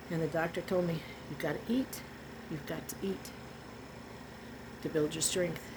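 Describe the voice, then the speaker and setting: A woman with a fairly low voice speaks at a moderate pace, leaving long, frequent pauses. Noticeable background noise runs behind her. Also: ordinary pitch variation. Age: 70s. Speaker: vlogger. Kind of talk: personal testimony. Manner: emotional, animated.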